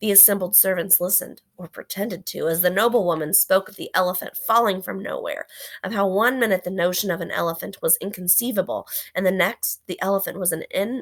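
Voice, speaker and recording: In a raspy, put-on character voice, a woman speaks at a fairly quick pace and medium pitch with fairly even intonation, the sound dry and close with no echo. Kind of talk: read-aloud storytelling for a third-grade class. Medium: read story. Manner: gentle, expressive reading pace.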